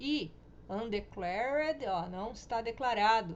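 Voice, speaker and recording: The speech moves at a fairly slow pace with lively intonation, and audible room echo surrounds it. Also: woman. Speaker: programming teacher. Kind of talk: recorded lecture tutorial.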